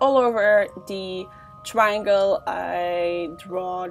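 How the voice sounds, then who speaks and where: Music plays in the background. A woman speaks with a non-native accent. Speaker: makeup artist. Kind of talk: makeup tutorial voiceover.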